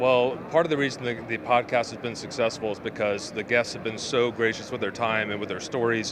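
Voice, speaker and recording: Noticeable background noise sits behind a man speaking at medium pitch. He talks at a fairly quick pace with fairly even intonation and hardly any pauses. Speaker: podcast host. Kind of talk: interview answer.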